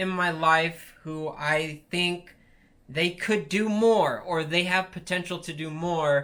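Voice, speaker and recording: A man speaks very slowly in a raised, projected voice, high-pitched, with a bright, sharp tone. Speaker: aspiring YouTuber vlogger. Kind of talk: casual talking-to-camera vlog. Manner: halting, with restarts; unscripted, off-the-cuff.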